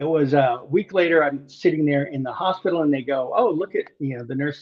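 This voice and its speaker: A man with an American accent talks at a fairly quick pace in a fairly high, somewhat breathy voice. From Okinawa, Japan (US military family). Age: 60s. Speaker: cancer and heart attack survivor. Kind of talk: personal story in interview. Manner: animated storytelling.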